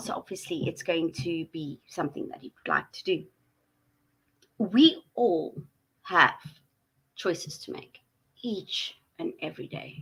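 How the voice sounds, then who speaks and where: A woman's bright, sharp tone at a fairly slow pace, broken by long, frequent pauses and big swings in loudness. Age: 40s. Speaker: mental health vlogger. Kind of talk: casual monologue.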